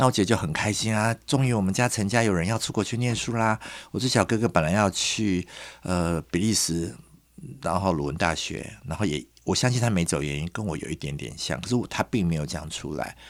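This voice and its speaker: A man's very deep, low voice with lively intonation at a fairly quick pace, on a very clean recording with a silent background. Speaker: designer and curator. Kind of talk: interview.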